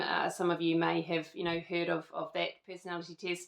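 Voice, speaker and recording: This woman speaks in a New Zealand accent. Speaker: lifestyle vlogger. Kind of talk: casual chat. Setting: at home. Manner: hesitant, many fillers.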